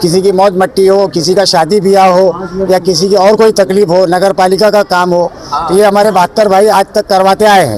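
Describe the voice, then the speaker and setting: With noticeable background noise behind him, a man speaks at a high pitch in a monotone, flat way, with very even loudness and a moderate pace. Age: 60s. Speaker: local supporter at political rally. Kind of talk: street interview.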